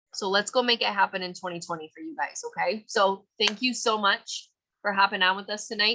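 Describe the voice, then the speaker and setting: A woman's voice comes across with a bright, sharp tone. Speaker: team leader of direct sales business. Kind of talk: motivational team call. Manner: animated.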